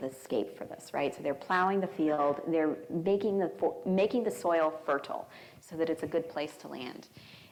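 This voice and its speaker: There is audible room echo as a woman with an American accent speaks at a fairly low pitch with ordinary pitch variation. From Arizona. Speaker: biomedical engineering professor. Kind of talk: lecture. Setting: church hall with audience. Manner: fast.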